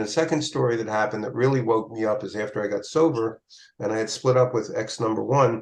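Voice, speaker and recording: A man talking at a very fast pace. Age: 70s. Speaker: recovering alcoholic sharing his story. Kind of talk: podcast interview. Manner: halting, many fillers and repeats.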